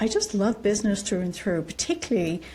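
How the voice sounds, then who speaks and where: The tone is dark and mellow. It is also somewhat breathy. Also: woman. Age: 60s. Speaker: company co-founder. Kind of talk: casual chat.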